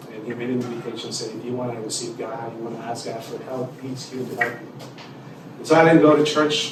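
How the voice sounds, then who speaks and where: This man's voice sits at a medium pitch with fairly even intonation. The room echo is audible and background noise is noticeable. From Mexico. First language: Spanish. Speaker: pastor and community development leader. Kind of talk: testimony. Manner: halting.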